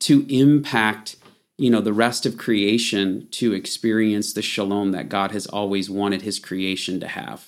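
A man with a plain, everyday voice speaks at a fairly slow pace, his fairly low pitch carried in fairly even intonation on a very clean recording with a silent background. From Michigan. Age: 40s. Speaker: Bible teacher. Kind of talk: casual interview.

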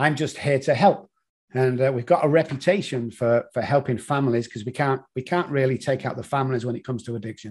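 The speaker talks at a very fast pace in a Manchester accent, with fairly even intonation. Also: man. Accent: British (Manchester). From Manchester, England. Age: 60s. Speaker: addiction consultant. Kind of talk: interview.

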